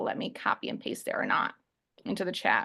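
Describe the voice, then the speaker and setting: A woman speaks in a raised, projected voice. Her tone is bright and sharp. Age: 20s. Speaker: online business coach. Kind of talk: webinar presentation. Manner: fast; loud.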